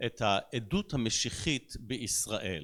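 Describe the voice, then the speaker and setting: The background is completely silent on this very clean recording. The voice belongs to a man. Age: 60s. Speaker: pastor. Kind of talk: sermon.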